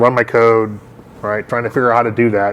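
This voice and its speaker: Noticeable noise fills the background. The man's voice sits at a medium pitch. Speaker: meetup organizer and tech presenter. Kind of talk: technical talk with Q&A. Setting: live meetup in a gallery with audience. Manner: fast.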